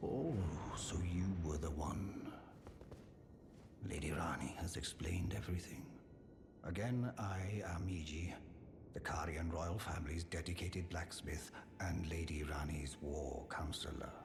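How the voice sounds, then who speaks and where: A man's put-on character voice, very deep and low, at a moderate pace with long, frequent pauses, clear echo and loud background noise. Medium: video game. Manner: polite, sincere.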